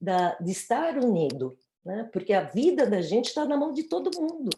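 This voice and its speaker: A woman speaks with a dark, mellow tone and vocal fry. Her pitch swings very widely. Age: 60s. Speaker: panelist in online talk. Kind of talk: panel discussion.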